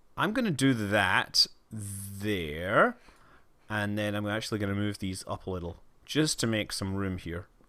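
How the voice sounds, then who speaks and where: A man with a fairly low pitch and a bright, sharp tone speaks at a fairly slow pace with ordinary pitch variation, on a very clean recording with a silent background. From Scotland. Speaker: livestreamer gamer. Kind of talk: casual game livestream commentary. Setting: livestream with camera.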